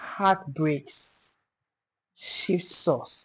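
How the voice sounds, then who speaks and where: Over a quiet background, a woman speaks in a somewhat breathy voice. Her pitch is fairly low and varies in an ordinary way. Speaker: podcast host. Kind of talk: podcast interview host.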